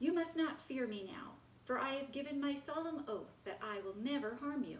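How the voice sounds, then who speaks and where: Using a put-on character voice, a woman talks at a moderate pace in a high pitch, with clear background noise behind her. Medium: read story.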